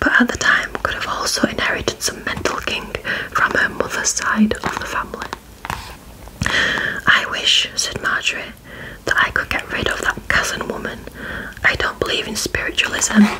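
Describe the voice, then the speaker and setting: A woman whispers over noticeable background noise. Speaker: ASMR creator / story reader. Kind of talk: whispered audiobook-style story reading. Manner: whispered, soft, slow.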